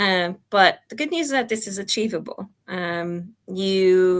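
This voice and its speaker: A woman with a Portuguese accent talks at a very slow pace and medium pitch, with ordinary pitch variation, on a very clean recording with a silent background. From Portugal. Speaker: product coach. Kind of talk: talk presentation. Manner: hesitant, many fillers.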